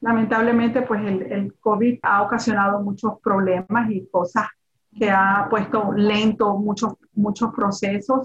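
Medium in pitch and somewhat breathy, a woman's voice moves at a fairly slow pace. Her intonation is monotone and flat. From Nicaragua, Managua. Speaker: real estate broker. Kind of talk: interview. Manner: halting.

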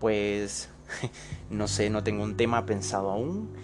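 With music playing in the background, a man speaks using lively intonation. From Bolivia. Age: 20s. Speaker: podcaster. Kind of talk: casual monologue. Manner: halting.

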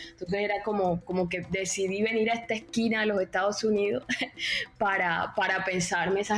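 Noticeable background noise sits behind the speech. A woman talks with medium pitch and fairly even intonation. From Caribbean Colombia, Cartagena. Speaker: literature doctoral student. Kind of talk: interview conversation. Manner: hesitant, many fillers.

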